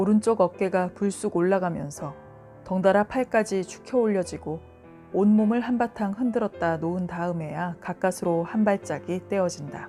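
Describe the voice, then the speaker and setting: With music in the background, a woman speaks at a medium pitch and a moderate pace, with ordinary pitch variation. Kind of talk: audiobook short story reading. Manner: soft, bedtime reading.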